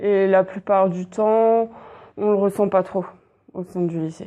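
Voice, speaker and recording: A woman's voice sits at a medium pitch with ordinary pitch variation and a dark, mellow tone. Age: 20s. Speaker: school supervisor. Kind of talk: interview.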